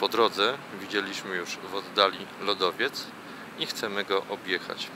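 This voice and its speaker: Against noticeable background noise, a man with a fairly low pitch talks at a very slow pace. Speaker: travel vlogger. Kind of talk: travel vlog narration. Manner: soft-spoken.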